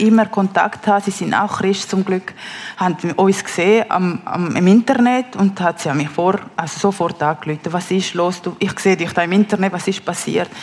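A woman talks in a Spanish accent at a moderate pace and medium pitch. Noticeable noise sits in the background. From Peru, Lima. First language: Spanish (speaking German). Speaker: mother telling her life story. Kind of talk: testimony interview. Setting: stage with live audience. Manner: halting, many fillers.

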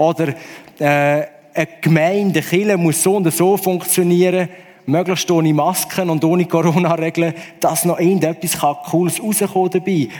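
Over noticeable background noise, a man speaks at a moderate pace in a high-pitched voice, with flat, monotone intonation and very even loudness. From Switzerland. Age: 40s. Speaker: musician. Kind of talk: testimony.

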